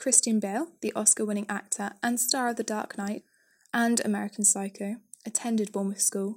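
On a very clean recording with a silent background, a woman with a British accent speaks fairly quickly in a somewhat breathy, fairly high voice with flat, monotone intonation. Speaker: podcast audio tour guide. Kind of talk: scripted walking-tour narration mixing local history facts with light jokes. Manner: measured, read-from-script delivery of dates and names; dry, self-deprecating humour with an occasional laugh.

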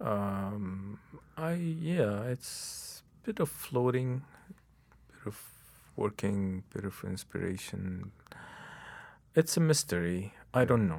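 At a very slow pace with long, frequent pauses, a man with a fairly low pitch makes very wide pitch swings. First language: Arabic. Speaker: novelist. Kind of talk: interview. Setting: studio. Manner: halting.

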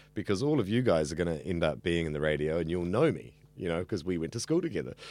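A man speaks very fast in a New Zealand accent, his pitch swinging very widely. The recording is very clean, with a silent background. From New Zealand, central Auckland. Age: 30s. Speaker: radio student. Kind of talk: interview. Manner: talkative.

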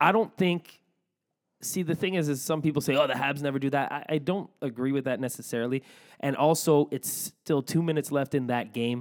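On a very clean recording with a silent background, a man with a plain, everyday voice talks at a fairly quick pace in a fairly high pitch, with ordinary pitch variation. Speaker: sports podcast host. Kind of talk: casual chat. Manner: jokey, laughs often.

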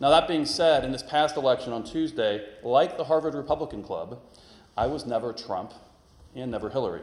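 A man with an American accent speaks at a fairly quick pace in a fairly high pitch, with ordinary pitch variation and audible room echo. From northern Kentucky, US. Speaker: guest preacher, former politician. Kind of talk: sermon. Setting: church.

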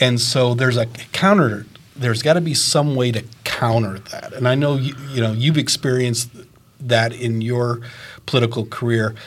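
A somewhat breathy man at a medium pitch speaks at a moderate pace with fairly even intonation. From Maine. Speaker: retired teacher, guest co-interviewer. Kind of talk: interview.

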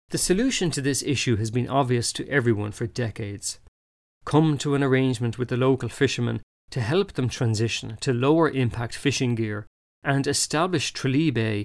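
A man with an Irish accent, medium pitch and ordinary pitch variation at a fairly quick pace, in a very clean recording with a silent background. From Ireland. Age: 40s. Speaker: ecologist and author. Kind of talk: scripted narration.

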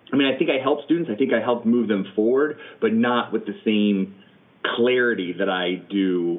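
At a medium pitch, a man talks with ordinary pitch variation and very even loudness. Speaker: improv teacher and performer. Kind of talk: interview. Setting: video call. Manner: fast talker; animated.

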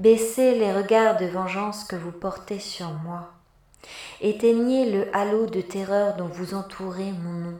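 With noticeable background noise, a woman speaks very slowly in a solemn tone with ordinary pitch variation. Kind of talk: dramatic monologue in the voice of a virus, read aloud in French. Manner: solemn, declamatory, accusing, measured.

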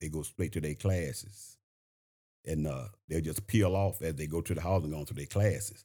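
On a very clean recording with a silent background, a man with a very deep, low pitch speaks at a fairly quick pace. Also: ordinary pitch variation. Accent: Southern US. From Shreveport, Louisiana. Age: 70s. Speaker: school board member and retired principal.

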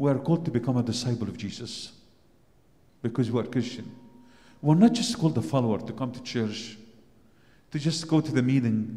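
A man with an Arabic accent talks very fast at a medium pitch with lively intonation. His tone is dark, mellow and somewhat breathy, and room echo is audible. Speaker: priest. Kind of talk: sermon.

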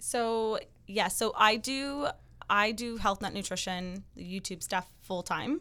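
A woman with a Canadian accent speaks very slowly at a fairly high pitch, with ordinary pitch variation and big swings in loudness. Her tone is bright and sharp, and the recording is very clean with a silent background. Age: 20s. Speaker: YouTuber, health and wellness creator. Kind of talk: casual interview chat.

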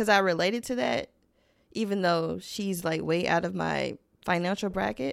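In a very clean recording with a silent background, a woman speaks at a moderate pace in an ordinary speaking voice, her medium pitch showing ordinary variation. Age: 20s. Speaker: podcast producer and co-host. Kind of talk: casual chat.

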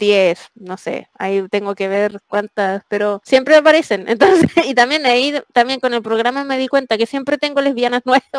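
A high-pitched woman with a Chilean accent, at a moderate pace with ordinary pitch variation and hardly any pauses, in a dry, close sound with no echo. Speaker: comic artist. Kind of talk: interview.

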